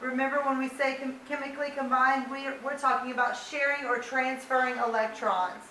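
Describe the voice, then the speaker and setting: A woman speaks in a raised, projected voice at a high pitch, moving at a fairly quick pace with hardly any pauses and monotone, flat intonation. Noticeable background noise and audible room echo fill the recording. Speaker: high school science teacher. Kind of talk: lecture.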